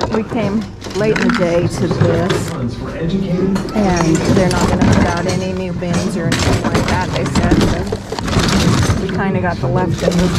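Loud background noise runs under speech at a moderate pace, broken by long, frequent pauses. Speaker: reseller digging through bins. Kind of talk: casual vlog chat. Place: shop. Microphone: phone near.

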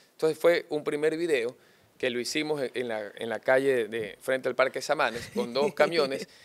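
A man's fairly high pitch with ordinary pitch variation at a moderate pace. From Guayaquil, Ecuador. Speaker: mayoral candidate; candidate. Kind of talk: political interview. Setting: studio set. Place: studio. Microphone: studio mic.

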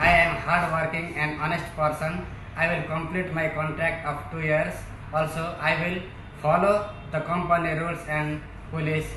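A man's fairly high, monotone voice with flat intonation and a Nepali accent at a moderate pace, with light background noise and audible room echo. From Nepal, Jhapa. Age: 30s. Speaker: job applicant, warehouse worker. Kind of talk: job interview self-introduction. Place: factory. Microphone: camera far.

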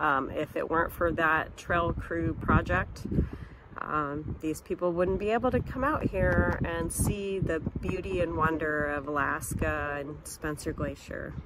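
Loud background noise surrounds a woman with an American accent. She speaks at a fairly slow pace, and the sound is dry with no echo. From Montana. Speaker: career counseling organization director. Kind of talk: vlog narration. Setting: outdoors. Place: open country. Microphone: phone near.

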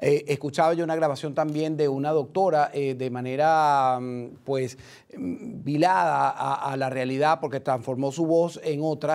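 A man talks with an unremarkable speaking voice, fairly high in pitch, with ordinary variation. His pace is fairly slow against a quiet background. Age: 50s. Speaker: TV news host. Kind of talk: live TV interview. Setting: studio. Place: studio.

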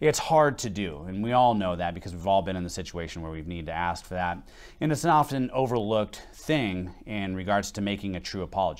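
A man with a fairly low pitch talks at a fairly quick pace against a quiet background. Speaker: pastor. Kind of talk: sermon. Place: church.

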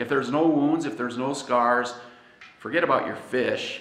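A man talks at a moderate pace in an American accent. Audible room echo is present. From United States. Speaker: pastor. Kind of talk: sermon. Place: church.

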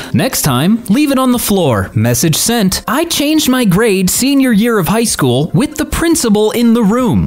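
A woman speaks in a fairly high-pitched voice with very wide pitch swings. Noticeable background noise is present. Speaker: narrator reading online posts. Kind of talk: reading aloud.

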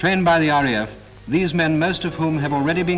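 Music plays in the background as a man talks very fast. His fairly high voice shows ordinary pitch variation. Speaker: newsreel narrator. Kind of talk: wartime newsreel narration.

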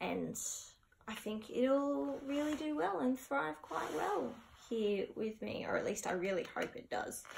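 Over noticeable background noise, a woman with an Australian accent speaks at a fairly slow pace, her pitch swinging very widely. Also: fairly high pitch for a woman. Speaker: plant collector and video creator; video creator. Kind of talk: casual vlog haul. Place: home room. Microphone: camera far.

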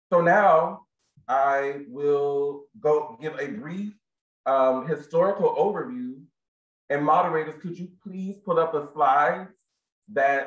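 A man speaks against a quiet background. Audible echo fills the room. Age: 30s. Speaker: library program specialist. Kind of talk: moderated presentation. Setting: video call from home. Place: home room. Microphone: webcam.

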